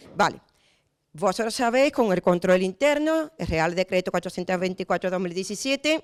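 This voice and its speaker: An animated tone and lively intonation in an Andalusian accent, with dry, close sound and no echo. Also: woman. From Andalusia, Spain. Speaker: municipal auditor and lecturer. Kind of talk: conference talk. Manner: fast.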